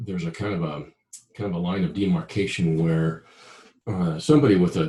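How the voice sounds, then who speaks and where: A man with a very deep, low pitch speaks in a dark, mellow tone, somewhat breathy, with ordinary pitch variation. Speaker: business founder and author. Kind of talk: interview.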